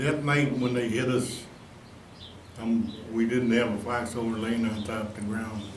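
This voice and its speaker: With audible room echo and noticeable background noise, a man speaks fairly slowly at medium pitch in a monotone, flat way. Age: 80s+. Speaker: war veteran. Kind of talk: testimony. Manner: halting.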